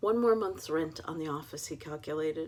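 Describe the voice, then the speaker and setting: This woman has a very deep, low pitch and an American accent. She talks at a moderate pace. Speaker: author. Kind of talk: reading aloud; casual chat.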